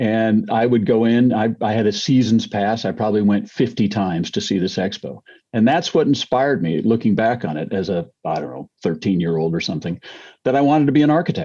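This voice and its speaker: A man speaks at a fairly quick pace with an American accent and a medium pitch. His tone is dark and mellow, and his intonation is lively. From California, US. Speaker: business executive and entrepreneur. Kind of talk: interview.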